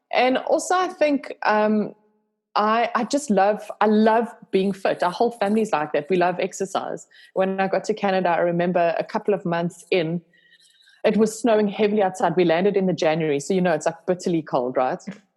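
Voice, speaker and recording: A woman at medium pitch talks at a fairly quick pace with lively intonation and very even loudness. The recording is very clean, with a silent background. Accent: South African. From South Africa, Cape Town. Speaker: yoga instructor and video creator. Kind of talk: casual chat. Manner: animated.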